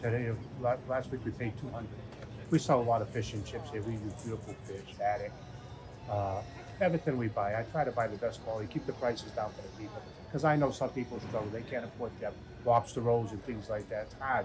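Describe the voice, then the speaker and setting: With music in the background, a man talks at a very fast pace at medium pitch with ordinary pitch variation. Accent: American. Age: 60s. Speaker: restaurant owner. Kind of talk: interview.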